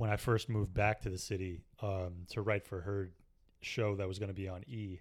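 A man with a normal speaking voice talks at a moderate pace and a fairly low pitch, with fairly even intonation, in a very clean recording with a silent background. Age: 30s. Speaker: stand-up comedian and comedy writer. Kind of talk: casual chat.

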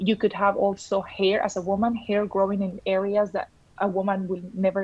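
A moderate pace carries the speech. There is a somewhat breathy quality to it. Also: woman. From Colombia. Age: 30s. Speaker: nutritional therapist. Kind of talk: interview.

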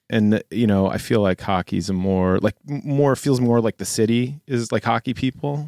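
A man's medium-pitched voice with an American accent and a dark, mellow tone, at a moderate pace with hardly any pauses and ordinary pitch variation, dry and close with no echo, on a very clean recording with a silent background. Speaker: schoolteacher and guest co-host. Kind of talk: casual chat.

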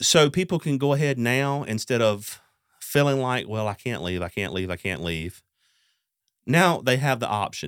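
This man has a Southern US accent and a medium pitch. He talks at a moderate pace, his pitch swinging very widely. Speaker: podcast host. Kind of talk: casual interview. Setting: studio.

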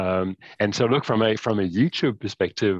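A man talks with an unremarkable speaking voice, fairly low in pitch and fairly even in intonation. The sound is dry and close with no echo, against a quiet background. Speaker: wine tech founder. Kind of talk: casual chat.

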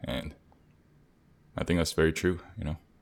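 A man's very deep, low voice in a monotone, flat intonation, at a fairly quick pace. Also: very clean recording, silent background. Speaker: podcast host. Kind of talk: casual chat.

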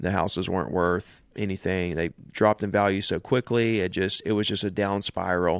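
A man speaks at a fairly quick pace with a Southern US accent, his fairly low pitch and fairly even intonation captured in a very clean, dry, close recording with a silent background and no echo. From Alabama. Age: 40s. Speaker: real estate agent and coach. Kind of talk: casual interview.

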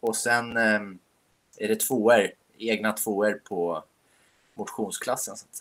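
With long, frequent pauses, a man speaks very slowly at a fairly low pitch in a monotone, flat intonation. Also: big swings in loudness. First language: Finnish (speaking Swedish). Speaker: podcast co-host, amateur cross-country skier. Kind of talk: casual chat.

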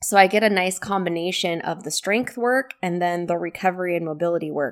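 A woman's unremarkable speaking voice, fairly low in pitch with ordinary pitch variation and a moderate pace. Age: 40s. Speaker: wellness podcast host and coach. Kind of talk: solo podcast talk. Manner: conversational.

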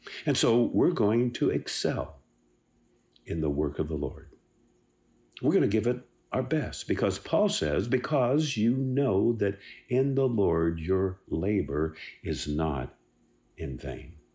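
Against a quiet background, a man with a fairly low pitch speaks at a very slow pace with long, frequent pauses, very wide pitch swings, vocal fry, and a warm, dark, mellow tone. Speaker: devotional speaker. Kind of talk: devotional pep talk. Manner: warm, encouraging, earnest; emphatic, repeats key words.

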